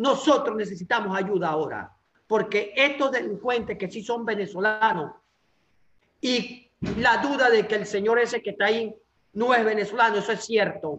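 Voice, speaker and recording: High-pitched male speech, moderately paced, with typical pitch movement. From Venezuela, Anzoátegui state. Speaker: political activist. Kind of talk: interview.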